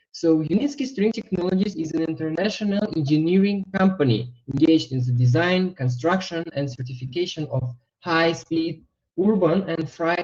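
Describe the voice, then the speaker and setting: Speaking with a non-native accent, a man keeps a moderate pace. His pitch is high, and his intonation is lively. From Uzbekistan. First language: not English. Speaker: webinar presenter, investment trainer. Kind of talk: online webinar presentation. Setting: online webinar.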